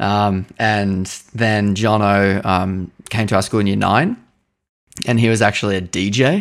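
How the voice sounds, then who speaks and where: A man with an Australian accent, fairly low in pitch, fairly even in intonation and very even in loudness, at a fairly slow pace on a very clean recording with a silent background. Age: 20s. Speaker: guitarist and singer in a band. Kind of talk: casual interview.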